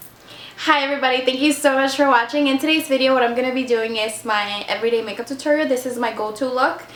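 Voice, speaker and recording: A woman at high pitch and very fast pace with hardly any pauses, fairly even intonation, noticeable background noise and audible room echo. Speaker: beauty vlogger. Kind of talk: tutorial. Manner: casual, chatty.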